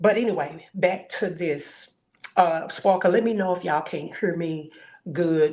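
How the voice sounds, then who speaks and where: Her pitch fairly low and its variation ordinary, a woman talks at a moderate pace. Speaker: live streamer. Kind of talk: live stream commentary. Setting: hotel room. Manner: loud.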